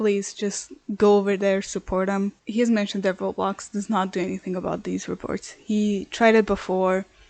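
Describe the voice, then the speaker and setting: In a dry, close sound with no echo, a woman speaks at a medium pitch and moderate pace with monotone, flat intonation. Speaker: commentary YouTuber. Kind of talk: video commentary. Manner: earnest, some stumbling repetitions.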